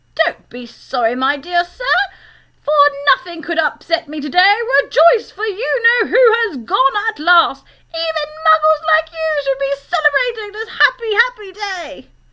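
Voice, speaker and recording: A woman uses a put-on character voice that is squeaky and extremely high. She speaks at a moderate pace with very wide pitch swings. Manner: joyful, jubilant.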